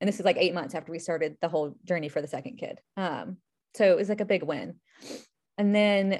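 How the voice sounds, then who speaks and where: Against a quiet background, a woman talks at a fairly quick pace in a medium pitch with ordinary pitch variation and an unremarkable speaking voice. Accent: American. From US South (Charlotte, North Carolina). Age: 30s. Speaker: IVF patient sharing her story. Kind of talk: casual interview, personal story.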